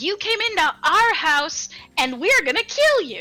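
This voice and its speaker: Putting on a character voice, a woman speaks fairly slowly at an extremely high pitch with very wide pitch swings, as faint music plays in the background. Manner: threatening.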